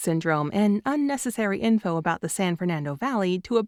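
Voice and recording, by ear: With lively intonation, a natural voice reads the words aloud.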